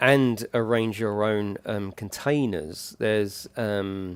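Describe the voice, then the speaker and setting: On a very clean recording with a silent background, a man with a British accent speaks very slowly in a fairly low pitch, his intonation fairly even. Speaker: gaming streamer. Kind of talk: live gameplay commentary. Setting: livestream. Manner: casual, chatty.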